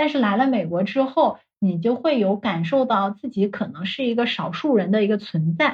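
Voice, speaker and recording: Somewhat breathy and fairly high in pitch, a woman speaks at a moderate pace with hardly any pauses. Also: lively intonation. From mainland China. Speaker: life coach. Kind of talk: interview.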